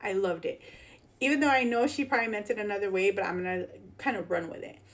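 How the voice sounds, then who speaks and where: A woman talks at a fairly quick pace with a Chicago accent. Her intonation is lively. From Chicago, US Midwest. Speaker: political commentary YouTuber. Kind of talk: casual commentary on news clips. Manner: casual, filler-heavy.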